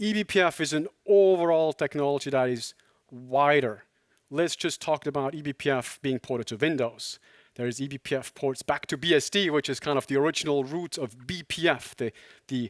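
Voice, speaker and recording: Fairly quick and fairly high-pitched, a man speaks with ordinary pitch variation in a very clean, dry, close recording with a silent background and no echo. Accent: Swiss German. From Switzerland, near Zurich. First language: Swiss German. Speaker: tech company co-founder and CTO. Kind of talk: conference talk.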